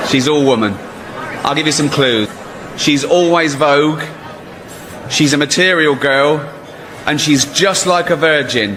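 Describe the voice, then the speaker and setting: Fairly slow speech with long, frequent pauses, very even loudness and noticeable background noise. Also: man, fairly high pitch for a man, ordinary pitch variation. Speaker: stand-up comedian. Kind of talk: awards ceremony host roast.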